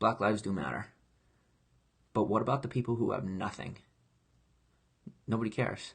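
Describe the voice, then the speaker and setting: Male speech at a fairly quick pace with vocal fry, long, frequent pauses and ordinary pitch variation against a quiet background. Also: fairly low pitch for a man. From grew up in foster care. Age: 20s. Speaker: online entertainer, live streamer. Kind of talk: casual live stream chat. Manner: animated, impassioned.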